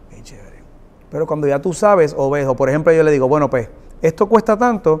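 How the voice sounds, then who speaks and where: Talking at a fairly quick pace, a man uses a fairly high pitch and lively intonation. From Puerto Rico. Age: 40s. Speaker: singer-songwriter and producer; guest. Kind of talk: interview. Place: studio.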